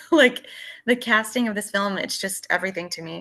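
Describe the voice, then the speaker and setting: With a Texas accent, a woman speaks at a medium pitch in a bright, sharp tone against a quiet background. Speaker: podcast co-host. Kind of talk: casual chat.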